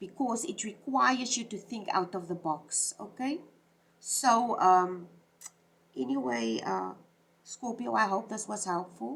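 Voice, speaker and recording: There's vocal fry in this woman's medium-pitched voice. She speaks at a fairly slow pace. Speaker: tarot reader. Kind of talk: tarot reading monologue. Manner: halting.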